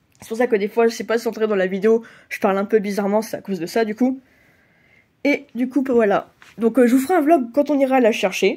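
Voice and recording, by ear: A woman talks fast in a nasal, dark, mellow tone, her fairly high pitch showing ordinary variation.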